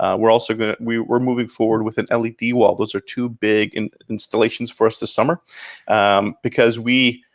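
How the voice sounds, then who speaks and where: A man with a slight Canadian accent talks at a fairly quick pace in a medium pitch with monotone, flat intonation. The sound is dry and close with no echo, on a very clean recording with a silent background. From Canada, St. Catharines, Ontario. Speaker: pastor. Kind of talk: interview.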